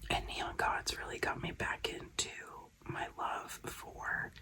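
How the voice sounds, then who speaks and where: A very slow whisper against noticeable background noise. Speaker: glitter maker and content creator. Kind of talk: casual chat. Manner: whispering; soft-spoken.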